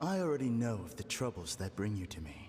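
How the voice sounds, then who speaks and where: Putting on a character voice, a man speaks at a fairly quick pace with a fairly low pitch. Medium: video game. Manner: calm, hypnotic.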